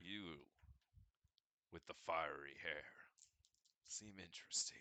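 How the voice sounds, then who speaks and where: In a put-on character voice, the speaker goes at a fairly slow pace with fairly even intonation. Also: man, very deep, low pitch for a man. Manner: creepy.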